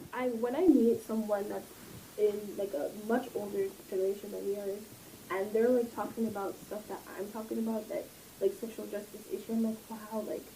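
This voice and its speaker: Noticeable background noise accompanies a woman with a fairly high pitch. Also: fairly even intonation, moderate pace. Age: 20s. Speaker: university student leader. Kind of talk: casual chat.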